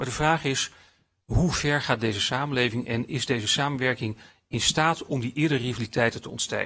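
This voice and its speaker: Over a quiet background, a man with a bright, sharp tone speaks at a fairly quick pace with fairly even intonation. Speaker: philosophy lecturer. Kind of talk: lecture. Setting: stage with audience. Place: hall. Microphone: podium.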